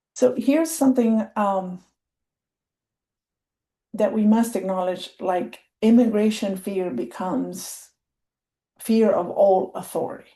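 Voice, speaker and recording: A woman speaks at a fairly slow pace with a medium pitch, a somewhat breathy, dark and mellow tone, lively intonation, and long, frequent pauses against a quiet background. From Colima, Mexico. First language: Spanish. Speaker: program and project manager. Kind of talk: training webinar presentation.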